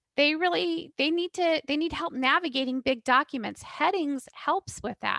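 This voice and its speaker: A woman speaks at a high pitch with a bright, sharp tone and lively intonation. Her fairly slow delivery sounds dry and close with no echo. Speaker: assistant professor, special education. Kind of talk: webinar presentation.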